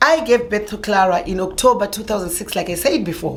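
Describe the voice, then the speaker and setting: Fairly high in pitch, a woman speaks with lively intonation amid noticeable background noise and audible room echo. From Zimbabwe. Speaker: vlogger. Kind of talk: personal storytelling.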